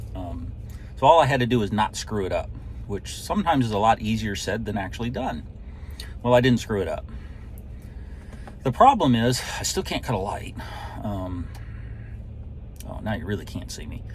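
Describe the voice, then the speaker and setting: A man at a moderate pace with long, frequent pauses and big swings in loudness, music in the background. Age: 50s. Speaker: drag racer vlogger. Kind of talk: casual vlog talk to camera. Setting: sitting in a truck at the racetrack.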